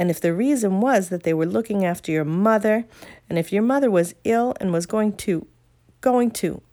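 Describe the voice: The voice is plain reading aloud. Its pitch variation is ordinary.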